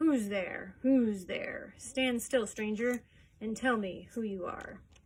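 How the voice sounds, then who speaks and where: A female-sounding put-on character voice growls at a fairly slow pace, pitched fairly high. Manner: threatening, demanding.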